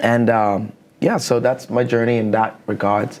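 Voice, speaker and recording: At a fairly slow pace, a man speaks with a Bahamian accent. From Bahamas. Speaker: counselor. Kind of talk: interview.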